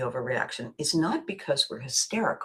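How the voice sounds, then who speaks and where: This is a woman's voice. Her tone is animated. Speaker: podcast host. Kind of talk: casual monologue. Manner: halting.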